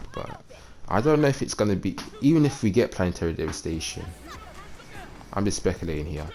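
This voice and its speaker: This man talks fairly quickly, with noticeable noise in the background. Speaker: gaming youtuber. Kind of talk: casual gameplay commentary. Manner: halting.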